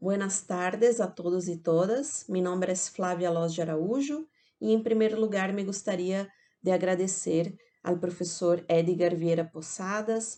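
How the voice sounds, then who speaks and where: Over a quiet background, a woman with a Portuguese accent speaks fairly slowly at a medium pitch, her tone dark and mellow and her pitch variation ordinary. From Brazil. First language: Portuguese (speaking Spanish). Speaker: academic speaker. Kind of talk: conference talk. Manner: slow, careful.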